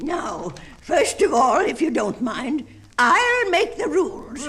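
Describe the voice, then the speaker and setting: In a put-on character voice, the speaker cackles at an extremely high pitch, moving at a fairly slow pace with very wide pitch swings. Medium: read story. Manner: cackling.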